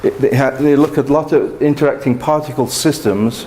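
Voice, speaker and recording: Background noise is noticeable behind this man. The room echo is audible too. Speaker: mathematics professor. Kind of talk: lecture.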